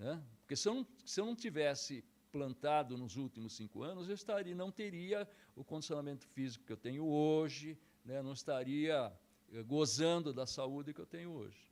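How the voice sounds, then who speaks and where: This man talks at a moderate pace with a fairly high pitch and lively intonation, in a plain, everyday voice. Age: 60s. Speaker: karate instructor. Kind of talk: interview.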